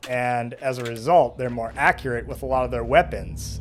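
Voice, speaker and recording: A man talks at a fairly slow pace. Noticeable noise is heard in the background. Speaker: gaming let's play commentator. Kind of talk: casual gameplay commentary. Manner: casual with many fillers.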